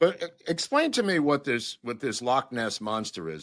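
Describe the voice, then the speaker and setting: With vocal fry, a man speaks at a medium pitch and moderate pace, his pitch swinging very widely. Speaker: podcast host. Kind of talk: casual podcast conversation.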